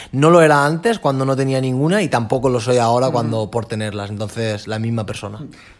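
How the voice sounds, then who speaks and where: Talking at a very fast pace with hardly any pauses, a man holds a medium pitch with ordinary pitch variation. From Alicante, Spain. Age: 20s. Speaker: track cyclist. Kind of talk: interview.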